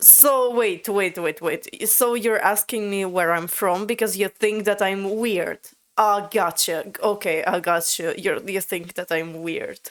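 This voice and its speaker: A woman with a Latvian accent talks at a fairly slow pace, her medium-pitched voice moving through ordinary pitch variation. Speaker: language learner, video creator. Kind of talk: casual conversation with AI chatbot. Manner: halting, many fillers.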